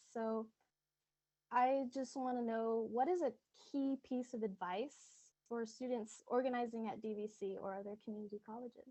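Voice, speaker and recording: A soft-spoken woman talks at a moderate pace with a fairly high pitch and fairly even intonation. Long, frequent pauses break up her speech. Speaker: student leader. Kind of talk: audience question. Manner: halting, many fillers.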